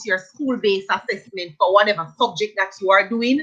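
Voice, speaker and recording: A woman with a Jamaican accent and lively intonation. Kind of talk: casual live stream discussion.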